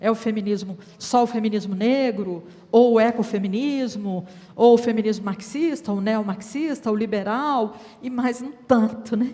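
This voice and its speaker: Her voice is somewhat breathy. This woman has a dark, mellow tone. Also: ordinary pitch variation, fairly slow pace. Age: 60s. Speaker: women's rights council member. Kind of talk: panel discussion.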